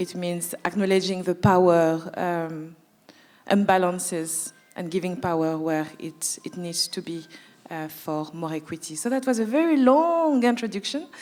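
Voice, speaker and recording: With a slight French accent, a woman speaks at a moderate pace in a fairly low voice with ordinary pitch variation. Her loudness swings widely, and music plays in the background. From France (Paris). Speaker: anti-oppression management consultant. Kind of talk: panel talk, introductions.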